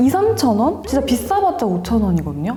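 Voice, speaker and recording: A woman's pitch swings very widely as she talks. Noticeable background noise and audible room echo fill the recording. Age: 30s. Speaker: lifestyle YouTuber. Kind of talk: casual advice talk to camera. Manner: animated.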